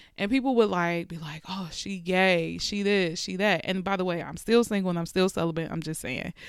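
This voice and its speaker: Pitch varies in an ordinary way as the voice moves at a fairly quick pace with hardly any pauses and big swings in loudness. The recording is very clean, the background silent. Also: woman, medium pitch for a woman. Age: 30s. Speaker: podcast host. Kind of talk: personal monologue. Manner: casual, conversational with frequent fillers.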